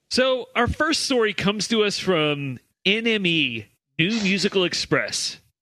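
A man's raised, projected voice at a high pitch, very slow pace, lively intonation, and very even loudness, with a quiet background. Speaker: podcast host. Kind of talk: casual comedy banter.

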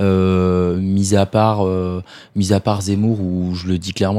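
A man with a very deep, low voice and a dark, mellow tone speaks in a flat monotone in a very clean recording with a silent background. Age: 20s. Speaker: young political activist. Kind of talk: panel discussion.

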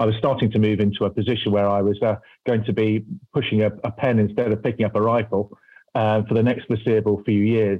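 With a British accent, a man speaks at a very fast pace in a fairly low pitch, his intonation monotone and flat and his loudness very even. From UK. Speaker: venture capital investor, former army officer. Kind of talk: interview. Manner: hesitant, repeats words.

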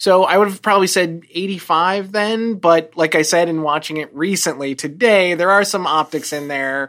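A woman's ordinary speaking voice, fairly low in pitch with ordinary variation, at a moderate pace with hardly any pauses, on a very clean recording with a silent background. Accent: American. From New Jersey, US. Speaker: television writer, former medical researcher. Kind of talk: casual chat.

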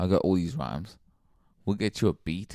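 A man with a very deep, low voice and vocal fry talks at a moderate pace in an animated tone, with ordinary pitch variation. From Zimbabwe, raised in Sydney. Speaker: hip hop artist. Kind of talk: casual chat.

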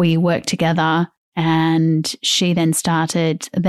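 A woman's fairly low voice in an Australian accent, monotone and flat, with a dry, close sound with no echo on a very clean recording with a silent background. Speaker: podcast host. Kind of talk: casual chat.

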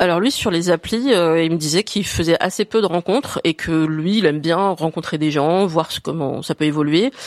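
An ordinary speaking voice at a moderate pace, with ordinary pitch variation, hardly any pauses, and a dry, close sound with no echo. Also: woman, fairly low pitch for a woman. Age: 40s. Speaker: woman asking a dating question. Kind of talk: casual chat.

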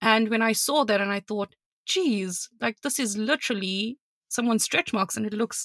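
Speaking with a South African accent, a woman with a fairly high pitch has a bright, sharp tone in a dry, close sound with no echo. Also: very clean recording, silent background. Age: 30s. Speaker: podcast co-host. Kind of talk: casual chat.

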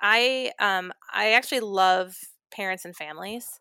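With an Inland North accent, a woman of medium pitch speaks in a bright, sharp tone in a very clean recording with a silent background. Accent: US Midwest (Inland North). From Ohio, near Cleveland. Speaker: college dean of students. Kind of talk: casual interview conversation.

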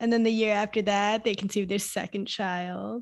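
A woman talks at a moderate pace with fairly even intonation. She has an ordinary speaking voice. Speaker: mindfulness coach. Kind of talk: casual chat.

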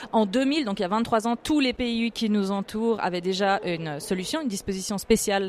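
This woman uses a plain, everyday voice. She sits at a medium pitch, and her pitch varies in an ordinary way. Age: 30s. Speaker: politician and professional cellist. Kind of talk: interview.

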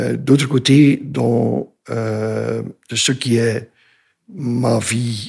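A man is speaking. He has a Dutch accent. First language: Dutch (speaking French). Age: 60s. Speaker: retired business consultant, cancer patient. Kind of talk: interview testimony. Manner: halting, many hesitations.

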